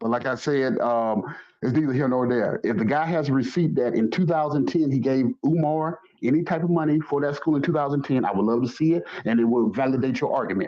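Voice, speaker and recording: Over noticeable background noise, a man with a Southern US accent talks at a fairly high pitch and a very even loudness. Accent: southern drawl. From US South. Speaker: caller in a live stream debate. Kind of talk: heated debate.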